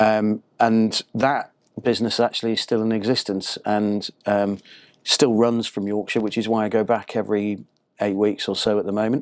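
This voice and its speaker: Against a quiet background, a man with a British accent speaks at a moderate pace in a fairly low, monotone, flat voice. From northern England, Harrogate near Leeds. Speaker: marketing consultant. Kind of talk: interview.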